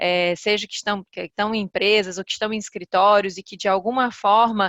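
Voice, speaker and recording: A woman speaks with a Ceará accent in monotone, flat intonation. The sound is dry and close, with no echo. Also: medium pitch for a woman, fairly quick pace, big swings in loudness. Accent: northeastern Brazilian (Ceará). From Ceará, northeastern Brazil. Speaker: corporate lawyer and compliance officer. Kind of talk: webinar presentation.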